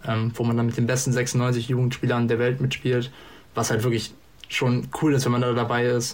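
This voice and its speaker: The voice is somewhat breathy and monotone, with flat intonation. It moves at a moderate pace. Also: man. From northern Germany, Hanover region. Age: 20s. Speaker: darts player and podcast guest. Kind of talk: casual chat. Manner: hesitant, many fillers.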